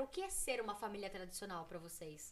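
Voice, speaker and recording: Her pitch swings across a very wide range. This woman talks at a very fast pace. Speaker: women's football player. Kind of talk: casual chat.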